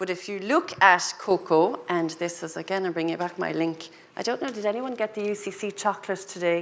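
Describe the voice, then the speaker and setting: Speaking with a Cork accent at a fairly quick pace with hardly any pauses, a woman uses a medium pitch and ordinary pitch variation over noticeable background noise. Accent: Cork Irish. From Ireland, Cork. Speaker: agribusiness panelist. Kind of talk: panel discussion. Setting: lecture hall panel with audience.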